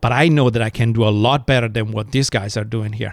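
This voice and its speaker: A man with an Italian accent talks at a moderate pace. The sound is dry and close with no echo, in a very clean recording over a silent background. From Italy, countryside. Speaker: restaurateur. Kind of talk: interview storytelling.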